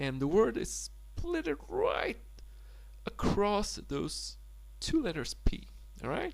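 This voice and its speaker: A man with a Polish accent, very slow pace, and long, frequent pauses. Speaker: language tutor. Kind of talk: tutorial. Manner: halting.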